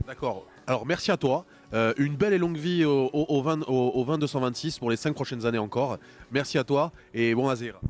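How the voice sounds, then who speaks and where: A man's plain, everyday voice, fairly high in pitch, at a fairly quick pace with very even loudness and ordinary pitch variation. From Corsica. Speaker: show presenter. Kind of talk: interview.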